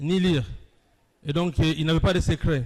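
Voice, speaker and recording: Speaking at a fairly quick pace, a man keeps his fairly high pitch in fairly even intonation. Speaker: academic lecturer. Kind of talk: lecture. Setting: university hall with live audience, streamed online.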